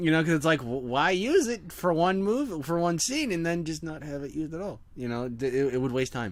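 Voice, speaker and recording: Noticeable background noise behind a man speaking at a fairly quick pace with lively intonation. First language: not English. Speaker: fan content creator. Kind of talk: casual brainstorming chat. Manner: halting, many restarts.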